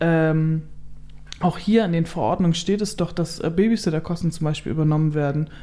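Speaking at a moderate pace, a woman has a fairly low pitch and a normal speaking voice. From northern Germany, Kellinghusen, Steinburg district. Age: 30s. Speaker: blogger and influencer on rural life. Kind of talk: casual interview. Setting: holiday flat at her home.

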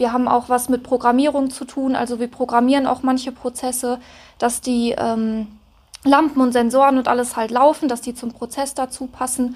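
This woman's voice is high. Her delivery stays flat and monotone. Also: moderate pace. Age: 20s. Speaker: mechatronics apprentice. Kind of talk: interview.

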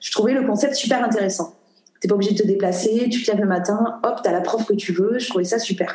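A woman delivers her words fairly quickly and with fairly even intonation, noticeable background noise behind her. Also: fairly high pitch for a woman. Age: 30s. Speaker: yoga dance trainer and entrepreneur. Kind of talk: interview conversation.

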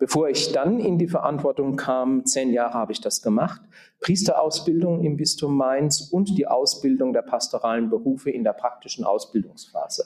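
With a fairly high pitch, a man talks at a moderate pace using very wide pitch swings. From Germany, southern Palatinate. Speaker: auxiliary bishop. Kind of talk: interview. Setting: conference room. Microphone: room echo.

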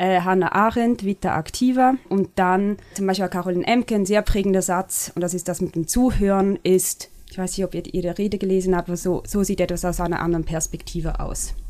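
Her unremarkable speaking voice holds a medium pitch for a woman, with fairly even intonation at a fairly quick pace. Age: 30s. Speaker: media company CEO, former stage director and dancer. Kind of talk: interview conversation.

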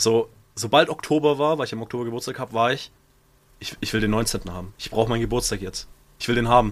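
A man speaks at a very fast pace with ordinary pitch variation. His loudness swings widely. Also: medium pitch for a man. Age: 20s. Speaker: podcast co-host. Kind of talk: casual chat.

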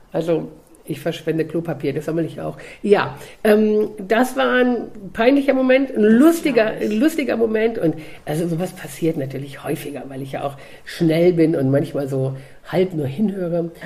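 A woman speaks in an animated tone at a moderate pace, her pitch swinging very widely. Noticeable background noise is present. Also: fairly low pitch for a woman. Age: 50s. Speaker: dog trainer and coach. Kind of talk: casual chat.

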